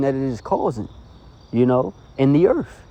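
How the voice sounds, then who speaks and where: A man with a fairly high pitch, lively intonation and a dark, mellow tone. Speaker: religious video preacher. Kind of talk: sermon. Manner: fast.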